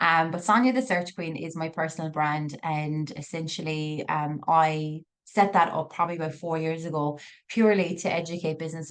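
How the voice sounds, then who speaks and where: This woman has a very deep, low pitch. She talks at a fairly quick pace. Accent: Irish. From Ireland. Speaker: digital marketing business owner. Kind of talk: masterclass presentation. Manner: fast; animated.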